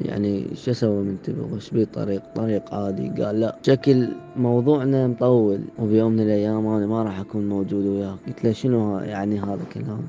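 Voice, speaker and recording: Over music in the background, a man with a fairly low pitch and ordinary pitch variation talks at a moderate pace with hardly any pauses. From Iraq. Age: young. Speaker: cancer survivor. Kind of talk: personal testimony.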